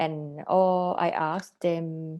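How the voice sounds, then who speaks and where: A woman's very deep, low voice in a Thai accent, dark and mellow in tone, over a quiet background. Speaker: artist. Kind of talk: interview. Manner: halting.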